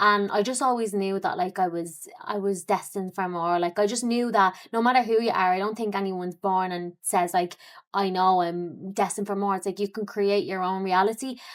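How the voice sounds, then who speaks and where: A woman with an Irish accent talks at a fairly quick pace with hardly any pauses, her pitch medium, on a very clean recording with a silent background. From Ireland, Dublin. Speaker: fitness coach and entrepreneur. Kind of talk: podcast interview. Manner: casual, many fillers.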